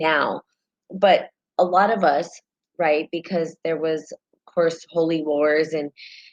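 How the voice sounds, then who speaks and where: With a slight New Mexican accent, a woman speaks at a fairly low pitch in a dry, close sound with no echo. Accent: light New Mexican. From New Mexico, US. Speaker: spiritual talk show host. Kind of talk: casual live-stream talk. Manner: conversational, with fillers.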